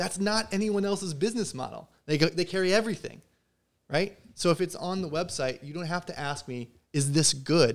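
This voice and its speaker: A man talks at a moderate pace in a plain, everyday voice, his intonation lively. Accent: American. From US Midwest, Southern Illinois. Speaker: guitar builder and gear shop owner. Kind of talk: casual chat.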